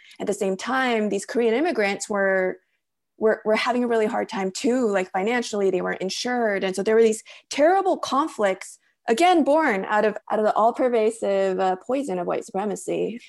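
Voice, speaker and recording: Against a quiet background, a woman speaks fairly quickly with a fairly high pitch and lively intonation. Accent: Californian. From Los Angeles area. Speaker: novelist. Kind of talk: interview conversation. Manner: hesitant, many fillers.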